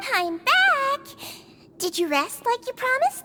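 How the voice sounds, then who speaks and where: A woman's put-on character voice, squeaky and extremely high-pitched, with very wide pitch swings at a fairly slow pace. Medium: video game. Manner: warm, professional.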